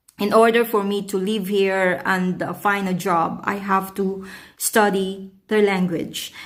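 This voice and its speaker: A woman speaks in a Filipino accent at a medium pitch and a fairly slow pace. Her intonation is monotone and flat, and the room echo is audible. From Philippines. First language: Tagalog. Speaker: vlogger. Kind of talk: casual vlog talk. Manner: halting, many fillers.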